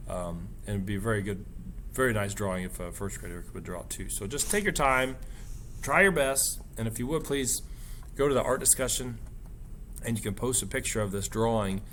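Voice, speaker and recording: There are long, frequent pauses as a man speaks at a medium pitch in a room with audible echo. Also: ordinary pitch variation, fairly quick pace. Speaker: art teacher. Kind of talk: tutorial.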